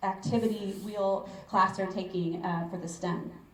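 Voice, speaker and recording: A woman of medium pitch speaks at a moderate pace with fairly even intonation. Noticeable background noise and audible room echo are present. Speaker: school board member. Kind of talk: public forum talk.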